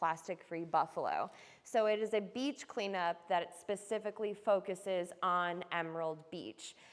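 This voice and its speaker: A woman with an American accent talks fairly slowly at a medium pitch, her intonation fairly even. It is an unremarkable speaking voice. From New York. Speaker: environmental artist. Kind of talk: artist talk to audience. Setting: room with live audience.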